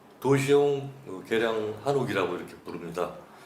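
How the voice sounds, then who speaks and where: Over noticeable background noise and audible room echo, a man speaks at a fairly slow pace and medium pitch with lively intonation. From Seoul, Korea. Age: 60s. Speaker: author interviewee. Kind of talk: oral history interview. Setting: cultural center interview room. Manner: hesitant, many fillers.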